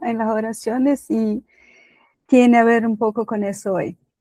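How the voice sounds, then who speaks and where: A woman with a Brazilian accent speaks fairly slowly at a fairly high pitch. The very clean recording has a silent background and a dry, close sound with no echo. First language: Portuguese (speaking Spanish). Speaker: lay preacher. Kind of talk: sermon. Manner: halting.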